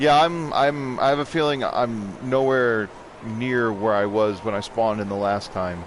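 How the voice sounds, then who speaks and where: In a room with audible echo, a man of medium pitch speaks at a moderate pace with ordinary pitch variation. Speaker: gaming streamer. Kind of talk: live gameplay commentary. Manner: sarcastic.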